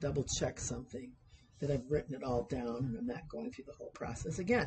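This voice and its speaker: A woman's somewhat breathy voice. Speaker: university sewing instructor. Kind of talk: tutorial. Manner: deliberately slowed pace.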